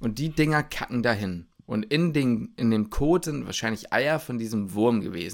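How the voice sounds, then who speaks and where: A man at a medium pitch and a moderate pace, a normal speaking voice. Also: lively intonation. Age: 20s. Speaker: medical student. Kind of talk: casual chat.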